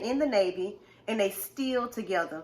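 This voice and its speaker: Noticeable background noise sits behind a woman speaking at a medium pitch and moderate pace, with ordinary pitch variation. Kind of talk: casual couples talk to camera.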